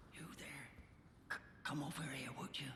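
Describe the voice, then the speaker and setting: Whispering in a put-on character voice, a man speaks at a moderate pace with a slight echo and clear background noise. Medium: video game. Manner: stammering, wheedling.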